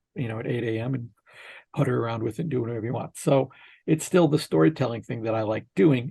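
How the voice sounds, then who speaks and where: The man has an American accent and a dark, mellow tone. His pitch varies in an ordinary way, with vocal fry. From Minnesota, US Midwest. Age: 60s. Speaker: filmmaker and author. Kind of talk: interview.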